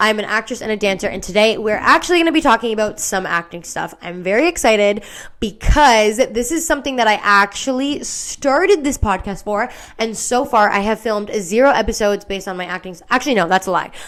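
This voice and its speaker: A woman talks very fast in a fairly high voice, her tone animated. Her loudness swings widely and her intonation stays lively. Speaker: actress and podcast host. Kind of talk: casual podcast monologue.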